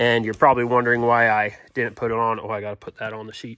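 A man's bright, sharp voice at a moderate pace, dry with no echo. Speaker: farmer restoring tractor. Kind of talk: casual vlog chat. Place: garage. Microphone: phone near.

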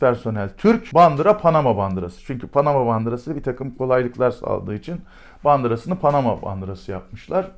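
Animated and fairly quick, a man speaks with very wide pitch swings. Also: quiet background. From Turkey. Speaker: retired special forces commander. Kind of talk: storytelling interview. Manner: hesitant fillers. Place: office.

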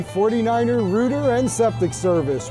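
A man with a high voice speaks at a fairly slow pace over clear background music. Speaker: business owner in commercial. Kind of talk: TV commercial read. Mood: friendly, cheerful. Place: street.

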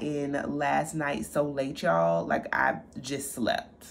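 A woman speaks at a fairly slow pace. There is light background noise. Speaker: style vlogger. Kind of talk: casual vlog chat. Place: home room. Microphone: phone near.

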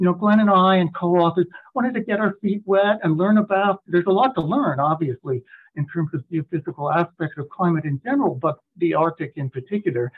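Here a man speaks with a high pitch at a fairly quick pace. The background is quiet. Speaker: presenter. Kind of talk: lecture. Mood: light, self-deprecating humor. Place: home room. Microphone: video call.

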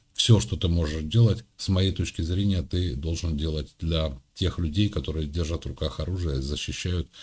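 A man with a very deep, low pitch speaks at a moderate pace, sounding somewhat breathy, with ordinary pitch variation. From Ukraine. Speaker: video chat streamer. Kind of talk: casual chat.

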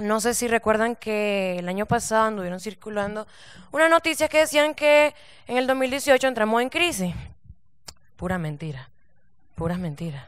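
A woman with a fairly high pitch and very wide pitch swings talks at a moderate pace with long, frequent pauses, her voice dry with no echo against a quiet background. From Nicaragua. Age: 20s. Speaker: stand-up comedian. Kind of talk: stand-up comedy set. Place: stage. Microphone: handheld.

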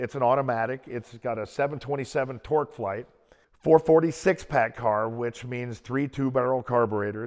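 Over a quiet background, a man speaks at a fairly slow pace. His pitch moves in an ordinary way. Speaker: car collector host. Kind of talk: interview-style storytelling. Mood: animated, amused anecdote. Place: garage. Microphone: lapel.

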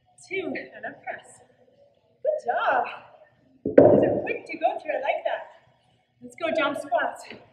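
A woman with an extremely high pitch speaks with big swings in loudness, with audible room echo and a quiet background. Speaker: fitness instructor. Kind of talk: workout instruction and counting. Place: gym. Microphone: camera far.

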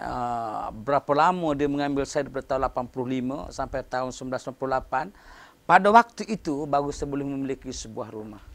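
Fairly slow delivery from a man, pitch varying in an ordinary way. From Malaysia. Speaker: professor. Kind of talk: interview. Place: office. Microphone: lapel.

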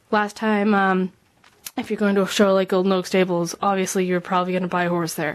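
Here a woman speaks at a fairly quick pace. Her intonation is fairly even. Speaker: model horse hobbyist vlogger. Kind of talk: casual tutorial vlog. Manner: rambling, filler-heavy. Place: home room. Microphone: phone near.

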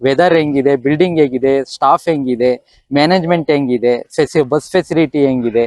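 Dry and close with no echo, a man's unremarkable speaking voice sits fairly high in pitch at very even loudness. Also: ordinary pitch variation. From rural Karnataka, Tiptur area. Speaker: school founder. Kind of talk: interview.

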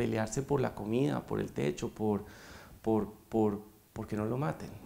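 A man talks with a fairly low pitch and ordinary pitch variation. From Bogotá, Colombia. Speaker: foundation president, economist; interview guest. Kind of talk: interview. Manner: hesitant, many fillers. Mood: warm, reflective. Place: studio. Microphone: lapel.

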